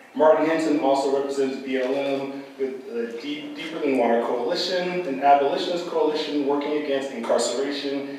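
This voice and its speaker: Strong room echo and light background noise accompany speech at a moderate pace. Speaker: moderator, professor. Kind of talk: formal introduction. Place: hall. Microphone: camera far.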